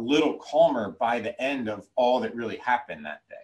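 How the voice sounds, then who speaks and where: A man uses a normal speaking voice and keeps a fairly quick pace. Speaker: educator and trauma-informed trainer. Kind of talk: lecture.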